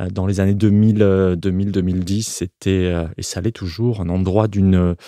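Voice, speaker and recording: With a strong Provençal accent, a man speaks at a very deep, low pitch in a dark, mellow tone. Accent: Provençal accent, still strong. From Provence, southern France. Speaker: architect. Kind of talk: interview. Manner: halting, many hesitations and repetitions.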